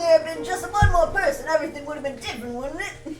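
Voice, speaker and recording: Someone puts on a strained, high-pitched character voice at a very fast pace over clear background noise. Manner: strained, lying on the floor.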